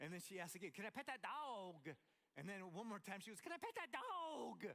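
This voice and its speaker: A raised, projected voice with an American accent moves at a fairly quick pace through very wide pitch swings. Noticeable background noise is present. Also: man, high pitch for a man. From Montana. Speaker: pastor. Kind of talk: sermon. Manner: animated.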